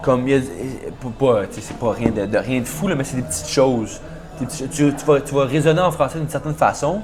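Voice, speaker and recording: A man's fairly high voice at a very fast pace, with long, frequent pauses, ordinary pitch variation and music in the background. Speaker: university football player. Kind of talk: casual interview. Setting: podcast. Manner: halting, many repetitions and fillers.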